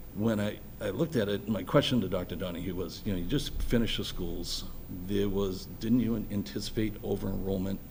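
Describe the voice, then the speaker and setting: A man with an American accent talks at a fairly quick pace in a fairly low pitch with vocal fry, amid audible room echo. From Boston, Massachusetts (Dorchester). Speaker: electrical engineer, school building committee chair. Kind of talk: public meeting self-introduction. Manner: halting.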